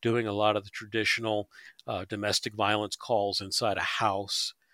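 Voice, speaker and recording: With an American accent, a man speaks at a moderate pace and medium pitch in a bright, sharp tone, recorded very cleanly, dry and close with no echo and a silent background. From North Jersey, near New York. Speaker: retired police officer. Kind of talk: interview.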